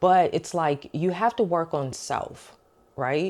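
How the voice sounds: A woman speaks slowly, low in pitch with ordinary pitch variation. Her tone is slightly mellow.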